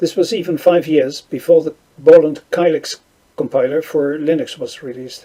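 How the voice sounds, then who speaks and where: A man speaks with a Dutch accent and ordinary pitch variation. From Netherlands. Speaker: conference speaker on programming. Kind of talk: conference talk. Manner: halting.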